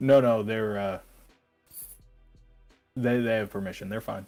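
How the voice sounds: Doing a gruff, put-on character voice at a medium pitch, a man speaks at a moderate pace with fairly even intonation while faint music plays in the background.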